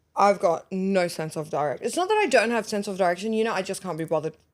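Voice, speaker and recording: An animated, fairly quick delivery in an Australian accent, with ordinary pitch variation. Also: woman. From Lebanon. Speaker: aesthetic nurse, podcast co-host. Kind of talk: casual chat.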